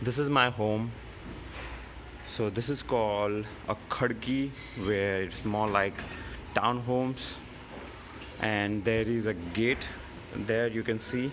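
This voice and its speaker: Against noticeable background noise, a man with a Gujarati accent speaks at a very slow pace with long, frequent pauses, medium pitch and fairly even intonation. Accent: Indian English (Gujarati). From Gujarat, India. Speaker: tech educator. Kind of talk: casual vlog talk to camera. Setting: outdoors.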